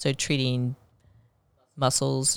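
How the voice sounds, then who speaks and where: In an American accent, a woman speaks very slowly with a very deep, low pitch. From Blue Springs, Missouri, near Kansas City. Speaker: physician, rehabilitation specialist, podcast co-host. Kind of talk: casual chat.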